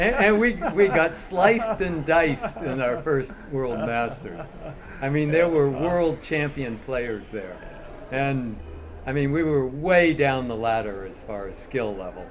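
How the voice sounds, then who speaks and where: A man with an American accent talks at a fairly slow pace and fairly high pitch, with very wide pitch swings and big swings in loudness. Audible room echo and noticeable background noise fill the recording. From US, Southern California. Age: 70s. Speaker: badminton player. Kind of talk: interview.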